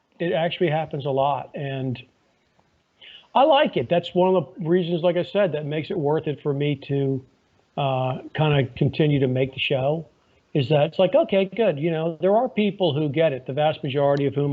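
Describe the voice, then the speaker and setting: At a moderate pace, a man uses a normal speaking voice that is fairly high in pitch, with ordinary pitch variation. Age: 60s. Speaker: lawyer and podcaster. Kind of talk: casual interview chat. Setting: phone call. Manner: conversational with frequent fillers.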